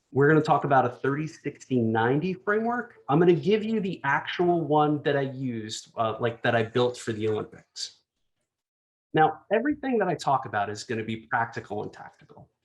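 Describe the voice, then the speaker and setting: A man's fairly high voice with very wide pitch swings, a New Jersey accent and a fairly quick pace. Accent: New Jersey American. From New Jersey, US. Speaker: design executive. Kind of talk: conference talk. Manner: fast.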